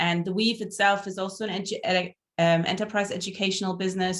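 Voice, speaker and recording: Fairly even intonation in a German accent. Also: woman. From Germany. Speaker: entrepreneur and startup mentor. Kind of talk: online networking event hosting.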